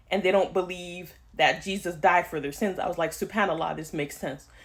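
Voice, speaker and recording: A woman of medium pitch talks at a fairly quick pace, her intonation fairly even. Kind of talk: testimony. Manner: fast.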